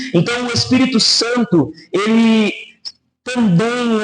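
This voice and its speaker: This man talks with lively intonation. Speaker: pastor. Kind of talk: sermon.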